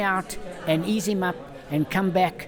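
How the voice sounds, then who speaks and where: Noticeable background noise runs behind the speaker. A man talks in a high pitch. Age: 70s. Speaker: retired jockey and boot maker. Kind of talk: interview storytelling. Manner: animated.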